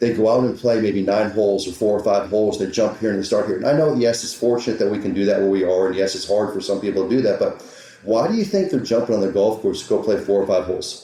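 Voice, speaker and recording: A man's fairly low voice at a very fast pace with hardly any pauses, amid audible room echo and noticeable background noise. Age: 50s. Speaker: golf teaching professional. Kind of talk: podcast interview. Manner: animated, repetitive.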